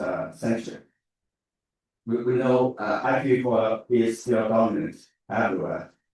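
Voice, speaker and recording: Speaking fairly slowly with a Chinese accent, a man talks at a medium pitch. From China. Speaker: academic researcher. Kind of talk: conference talk. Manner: halting, many fillers.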